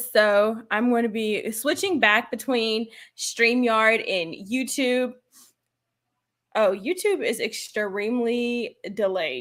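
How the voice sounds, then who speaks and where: On a very clean recording with a silent background, a woman speaks at a fairly high pitch with ordinary pitch variation. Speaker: finance YouTuber. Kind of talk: live stream Q&A. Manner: fast; halting.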